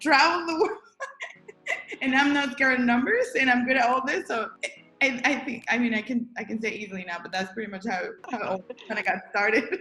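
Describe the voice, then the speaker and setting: Against noticeable background noise, a woman with a Spanish accent talks very fast at a high pitch with lively intonation, broken by long, frequent pauses. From Guatemala (Jalapa). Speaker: accountant and business founder. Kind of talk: interview. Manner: halting.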